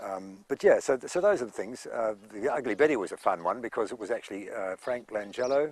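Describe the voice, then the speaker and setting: A man talks at a fairly quick pace in a New Zealand accent. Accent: New Zealand accent, kept. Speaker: actor. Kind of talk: interview anecdotes. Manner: hesitant, many fillers.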